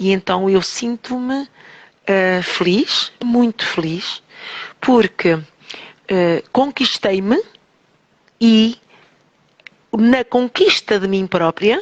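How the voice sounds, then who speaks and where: Speaking very slowly with long, frequent pauses, a woman uses a fairly high pitch and ordinary pitch variation. The sound is dry and close, with no echo. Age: 60s. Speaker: teacher and holistic therapist. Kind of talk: radio interview.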